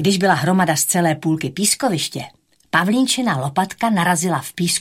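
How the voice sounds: Over a quiet background, a natural reading voice moves with ordinary pitch variation.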